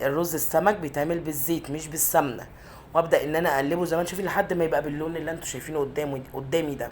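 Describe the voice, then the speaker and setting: A woman with a very deep, low pitch, fairly even intonation and a very fast pace over noticeable background noise. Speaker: cooking channel host. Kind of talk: cooking tutorial. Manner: halting.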